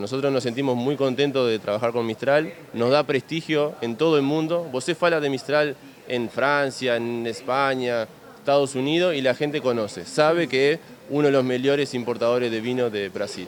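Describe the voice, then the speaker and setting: A man speaks at a moderate pace in a medium pitch with ordinary pitch variation. His is an unremarkable speaking voice. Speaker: winery representative. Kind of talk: interview.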